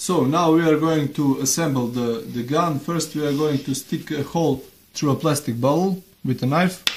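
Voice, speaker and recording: The voice is somewhat breathy and moves at a moderate pace. Its pitch varies in an ordinary way. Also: man, fairly high pitch for a man. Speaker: DIY video maker. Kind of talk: tutorial. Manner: halting, many fillers.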